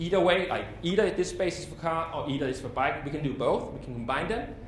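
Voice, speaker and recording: The speaker has a Danish accent and a fairly quick pace with ordinary pitch variation. Noticeable background noise and audible room echo are present. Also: man. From Denmark, Copenhagen. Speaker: cycling planning consultant. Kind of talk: lecture. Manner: fast.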